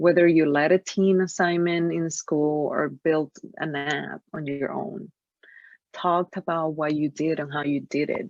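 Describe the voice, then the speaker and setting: Speaking fairly slowly with a Spanish accent, a woman has a very deep, low pitch and fairly even intonation. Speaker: career coach. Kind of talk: webinar presentation. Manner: halting.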